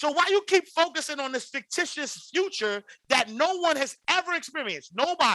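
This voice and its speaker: An American-accented man speaks at a fairly quick pace in a raised, projected voice, extremely high in pitch, with lively intonation and an energetic, bright, sharp tone, all in a dry, close sound with no echo. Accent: New York inner-city. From New York City, Harlem. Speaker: financial educator and podcaster. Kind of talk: casual interview.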